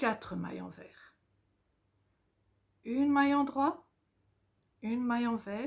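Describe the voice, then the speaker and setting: A woman with a high pitch speaks at a very slow pace. Her pitch varies in an ordinary way. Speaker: knitting teacher. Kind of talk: tutorial. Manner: slow, dictation pace.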